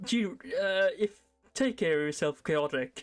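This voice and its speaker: Over background music, a woman with a slight Norwegian accent speaks at a fairly slow pace. Her pitch is medium and her intonation lively. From Norway. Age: 20s. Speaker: streamer. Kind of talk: casual chat. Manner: halting.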